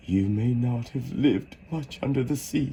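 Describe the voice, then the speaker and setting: Putting on a character voice at a medium pitch, a man speaks at a moderate pace over clear background noise. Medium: read story. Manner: mournful, sighing.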